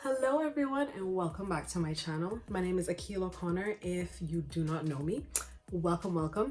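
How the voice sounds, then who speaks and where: A woman whispers quietly at a moderate pace, with music in the background. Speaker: self-help vlogger. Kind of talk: casual vlog talk. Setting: at home, early morning. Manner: quiet, whispered.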